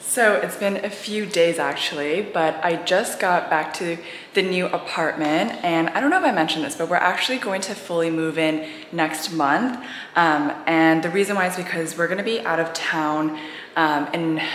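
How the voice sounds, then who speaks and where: A woman with a fairly low pitch speaks at a moderate pace with ordinary pitch variation. Audible room echo and light background noise fill the recording. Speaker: vlogger. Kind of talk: casual vlog chat. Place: empty room. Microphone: phone near.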